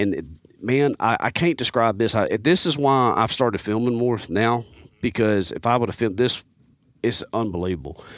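A man speaks at medium pitch and a moderate pace in a Southern US accent, with ordinary pitch variation. His loudness stays very even, and the recording is very clean with a silent background. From US South, Mississippi and Alabama. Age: 40s. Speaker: hunter and bow technician. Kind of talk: casual chat. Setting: studio. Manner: animated.

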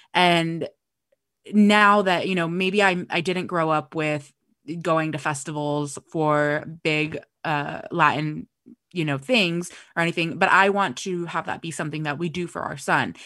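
A woman talks fairly slowly in a fairly low pitch with a bright, sharp tone. Her intonation is fairly even, and the background is quiet. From US West Coast (Los Angeles). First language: Spanish. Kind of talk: casual chat.

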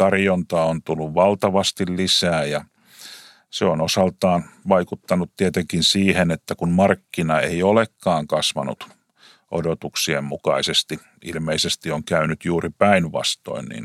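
Fairly slow pace and fairly even intonation, with a dry, close sound and no echo. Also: man, very deep, low pitch for a man. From Finland, Lahti. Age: 50s. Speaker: taxi company CEO. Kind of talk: interview.

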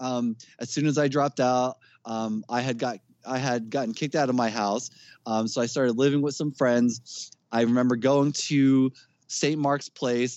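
A man with a New Jersey accent speaks at a moderate pace, with medium pitch and fairly even intonation. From New Jersey, Jersey City. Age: 30s. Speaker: metal band vocalist. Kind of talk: casual chat.

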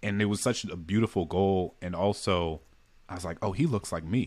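Ordinary pitch variation comes through in an American accent. The recording is very clean, with a silent background. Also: man. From US South, New Orleans. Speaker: author and poet. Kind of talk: interview.

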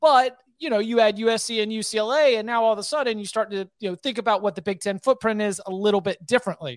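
In an American accent, a woman with a fairly high pitch and ordinary pitch variation speaks very fast, the sound dry and close with no echo on a very clean recording with a silent background. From North Carolina. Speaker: college football writer. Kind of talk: interview.

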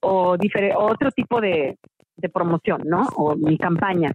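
A woman's ordinary speaking voice, fairly slow, with ordinary pitch variation. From Mexico. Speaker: musical theatre actress. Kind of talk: interview.

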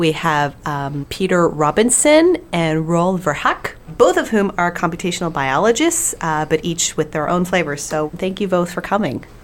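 A woman with a fairly low pitch and ordinary pitch variation speaks at a moderate pace with hardly any pauses, over noticeable background noise. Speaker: podcast co-host. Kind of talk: casual chat.

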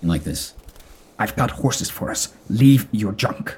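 A put-on character voice sits at a low pitch. It moves along at a fairly slow pace. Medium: actual play. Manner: fragmented, stitched-together phrases in mismatched voices.

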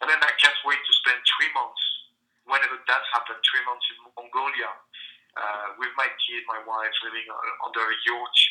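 In a French accent, a man speaks at a moderate pace. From France. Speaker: entrepreneur and comedian. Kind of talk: interview.

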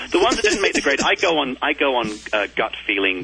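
Noticeable noise runs in the background. Over it, a man talks fairly quickly. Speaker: TV design show host. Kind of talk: interview.

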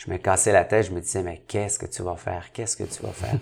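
A man's somewhat breathy, fairly low-pitched voice with fairly even intonation. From Montreal, Quebec (Saint-Henri). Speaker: entrepreneur. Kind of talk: interview.

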